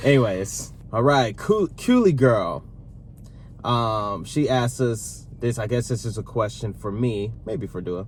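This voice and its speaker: A man at a fairly slow pace and medium pitch, somewhat breathy, with ordinary pitch variation. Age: 30s. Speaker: YouTube vlogger, co-host with partner. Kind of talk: casual Q&A chat.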